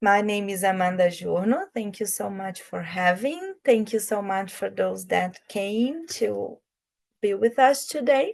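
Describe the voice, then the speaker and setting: A woman speaks with a Brazilian accent. Her pace is fairly slow. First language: Portuguese. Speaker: project manager. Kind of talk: online presentation. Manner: slow, deliberate; halting.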